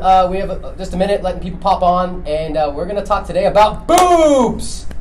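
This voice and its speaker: The speech moves at a fairly quick pace with hardly any pauses, and background noise is noticeable. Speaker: wellness clinic livestream co-host. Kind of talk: casual chat. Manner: loud.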